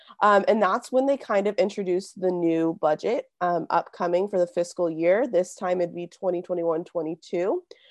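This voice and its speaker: A woman with a Californian accent talks at a medium pitch with ordinary pitch variation. She leaves hardly any pauses, and the sound is dry and close with no echo. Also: moderate pace. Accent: Californian American. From Southern California (Simi Valley). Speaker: community organizer. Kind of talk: interview.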